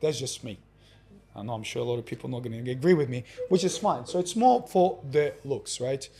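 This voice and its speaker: The voice is somewhat breathy, with a dark, mellow tone and lively intonation. It moves at a fairly quick pace with big swings in loudness. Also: man, fairly high pitch for a man. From Russia. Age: 40s. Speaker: exercise coach. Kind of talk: interview answer.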